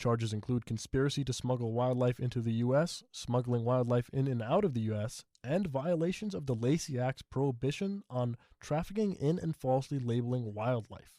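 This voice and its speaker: A man's dark, mellow voice at a medium pitch with ordinary pitch variation, moderate pace and hardly any pauses, dry and close with no echo on a very clean recording with a silent background. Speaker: news anchor. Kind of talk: television news anchor delivery.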